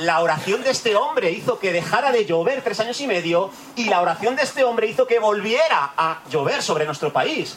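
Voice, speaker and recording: Over noticeable background noise, a man with a high pitch speaks at a fairly quick pace with very wide pitch swings and hardly any pauses. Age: 40s. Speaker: pastor. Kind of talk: sermon. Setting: church retreat.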